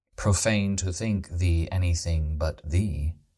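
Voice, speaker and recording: A man talks at a very slow pace, his pitch very deep and low with ordinary variation. His tone is calm and soothing, and somewhat breathy. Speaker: podcast host, composer and Renaissance festival performer. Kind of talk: sleep poetry reading. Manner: calm, slow, soothing.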